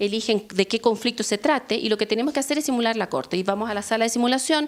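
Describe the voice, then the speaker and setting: In a Chilean accent, a woman speaks with a fairly high pitch and ordinary pitch variation. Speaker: law professor. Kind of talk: workshop lecture. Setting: workshop with audience.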